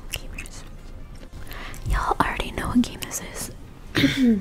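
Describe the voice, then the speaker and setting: A woman whispers. Her pace is very slow. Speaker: ASMR gaming creator. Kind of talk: casual talk to camera. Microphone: studio mic.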